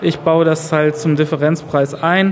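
Noticeable background noise sits behind this voice. A man speaks with a fairly high pitch. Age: 20s. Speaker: self-employed system administrator. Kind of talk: interview.

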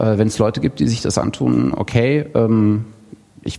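Noticeable background noise under a fairly quick delivery. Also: man. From Thuringia, eastern Germany. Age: 30s. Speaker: podcaster. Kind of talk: self-introduction at live event. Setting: live room with audience.

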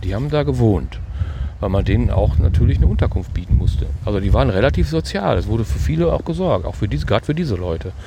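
Over noticeable background noise, a man with a very deep, low voice talks at a very fast pace with very wide pitch swings. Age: 60s. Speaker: retired police officer. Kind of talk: casual chat. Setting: outdoors.

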